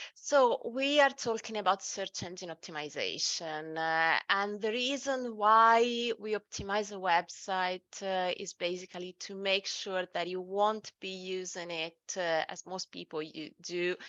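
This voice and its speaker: With an Italian accent, a woman speaks at a medium pitch in a bright, sharp tone, fairly slow yet with hardly any pauses, her pitch varying normally and her loudness swinging widely, the sound dry and close with no echo over a quiet background. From Italy. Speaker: SEO agency director. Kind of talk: webinar presentation.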